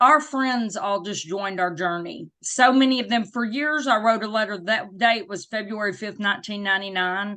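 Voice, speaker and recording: Speaking in a Southern US accent, a woman with a bright, sharp, fairly high voice keeps a moderate pace with hardly any pauses and ordinary pitch variation against a quiet background. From US South. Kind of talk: interview.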